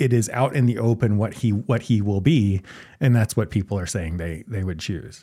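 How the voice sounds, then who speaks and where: With an American accent, a man speaks at a fairly low pitch with ordinary pitch variation and a dark, mellow tone, captured in a very clean recording against a silent background. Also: moderate pace. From US South. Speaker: political science professor, co-host. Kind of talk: casual chat.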